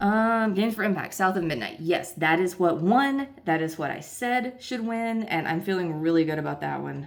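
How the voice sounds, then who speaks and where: A woman speaks at a moderate pace with a fairly low pitch and lively intonation. Noticeable background noise and audible room echo fill the recording. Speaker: gaming video creator. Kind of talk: casual vlog commentary. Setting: hotel room.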